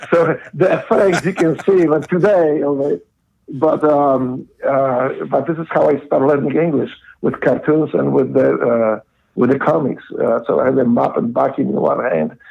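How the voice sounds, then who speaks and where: A man talks at a moderate pace. He has a Polish accent. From Poland. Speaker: former Navy SEAL, guest. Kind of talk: casual interview, life story. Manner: halting, many fillers.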